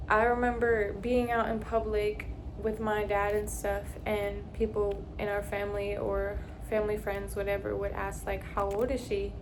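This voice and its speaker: Noticeable background noise and audible room echo surround a woman who talks at a moderate pace. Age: 20s. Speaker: faith vlogger. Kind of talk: casual vlog monologue.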